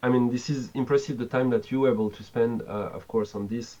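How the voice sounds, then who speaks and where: The pace is moderate. A man talks with a French accent. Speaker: game developer. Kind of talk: interview.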